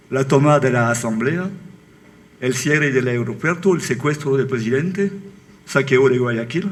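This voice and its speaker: A man with a French accent talks at a fairly slow pace with long, frequent pauses, medium pitch, ordinary pitch variation and very even loudness, with audible room echo. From France. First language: French (speaking Spanish). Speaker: book author. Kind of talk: book presentation talk. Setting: auditorium with audience. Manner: halting.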